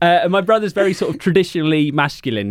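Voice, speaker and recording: A man with an English accent at a very fast pace. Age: 30s. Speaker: journalist and author. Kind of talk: casual chat.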